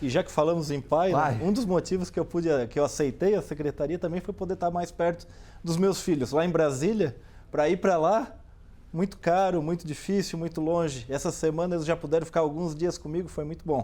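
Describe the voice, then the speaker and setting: In a very clean recording with a silent background, a man with a dark, mellow tone talks at a fairly quick pace, his pitch high with ordinary variation. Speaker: state environment secretary. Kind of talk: TV interview answer.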